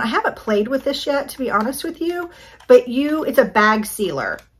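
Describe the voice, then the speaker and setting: A woman speaks in an enthusiastic tone with lively intonation over noticeable background noise. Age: 50s. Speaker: lifestyle YouTuber doing product hauls. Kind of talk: casual product haul review. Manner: chatty, enthusiastic.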